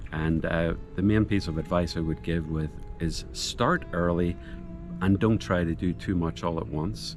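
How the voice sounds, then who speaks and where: Over music in the background, a man with a Northern Irish accent talks in a very deep, low pitch with ordinary pitch variation. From Northern Ireland. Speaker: retiree moving abroad. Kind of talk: interview.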